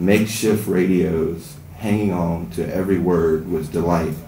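With an American accent, a man speaks in a very deep, low voice with fairly even intonation, over light background noise and audible room echo. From Southern US. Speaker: writer. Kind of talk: fiction reading at open mic. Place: stage.

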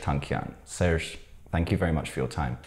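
The voice has a dark, mellow tone with ordinary pitch variation. The delivery moves at a fairly quick pace. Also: man, quiet background. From Armenian diaspora. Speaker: interviewer for a news channel. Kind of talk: interview. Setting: video call. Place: studio. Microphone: lapel.

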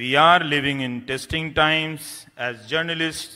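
A man speaks at a fairly slow pace with ordinary pitch variation, the background quiet. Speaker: award lecturer, journalist. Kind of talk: lecture. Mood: serious, earnest. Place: hall. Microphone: podium.

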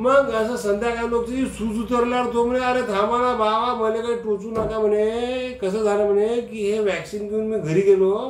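With a high pitch for a man, he speaks in a monotone, flat way amid audible room echo. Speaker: comedian. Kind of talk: comic monologue to camera. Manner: humorous storytelling. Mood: humorous, animated. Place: office. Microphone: phone near.

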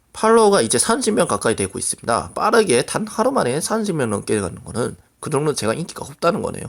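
A man speaks with very wide swings in pitch. His voice carries vocal fry. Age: 20s. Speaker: gaming streamer. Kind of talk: casual vlog talk. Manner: halting.

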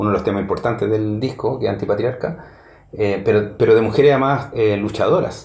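Audible room echo surrounds a man with a Chilean accent and fairly low pitch. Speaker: music reviewer. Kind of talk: solo review monologue. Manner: halting, many fillers. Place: home room.

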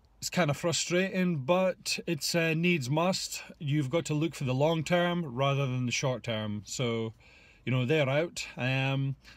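A man at a fairly slow pace, with ordinary pitch variation, a quiet background and a dry sound with no echo. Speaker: fitness coach. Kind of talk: casual vlog chat. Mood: relaxed, reflective. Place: car. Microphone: phone near.

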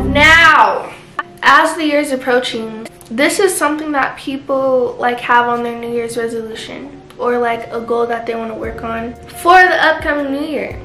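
Clear music plays in the background and the room echo is audible as the speaker talks at a moderate pace with ordinary pitch variation. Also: woman. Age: young. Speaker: lifestyle vlogger. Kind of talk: casual chat. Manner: casual, filler-heavy. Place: home room. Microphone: camera far.

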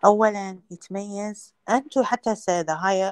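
A woman speaks with an Iraqi accent against a quiet background. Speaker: veterinary lecturer. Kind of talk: lecture. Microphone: video call.

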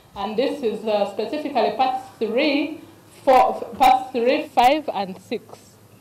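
A woman's voice with audible room echo. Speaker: NGO program officer. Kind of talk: news interview. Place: hall. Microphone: earbuds.

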